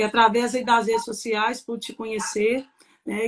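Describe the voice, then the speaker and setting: At a moderate pace, a woman with a Minas Gerais accent speaks in a monotone, flat way at a fairly high pitch. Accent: mineiro Brazilian Portuguese. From Minas Gerais, Brazil (Papagaios). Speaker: pastor's wife, pastor. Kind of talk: testimony. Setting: live stream.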